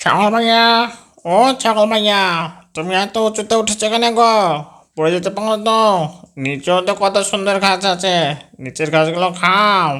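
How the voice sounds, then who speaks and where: Someone does a cartoonish character voice at middle pitch and a moderate pace. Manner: sly, wheedling.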